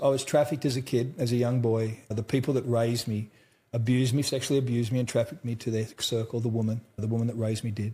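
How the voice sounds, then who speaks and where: A man with an Australian accent talks at a very fast pace with hardly any pauses, his voice somewhat breathy. His medium pitch has a dark, mellow tone on a very clean recording with a silent background. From central Australia. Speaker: trauma survivor and mental health speaker. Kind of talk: interview testimony. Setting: conference in Dallas. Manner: casual, uses mate and brother.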